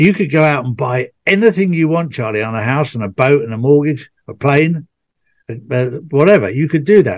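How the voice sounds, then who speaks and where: Very wide pitch swings mark this man's fairly high-pitched voice. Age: 60s. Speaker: podcast host. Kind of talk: casual chat.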